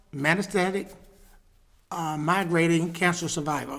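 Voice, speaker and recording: Room echo is audible as a man speaks in a high pitch. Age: 60s. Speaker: pastor. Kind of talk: casual chat. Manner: halting.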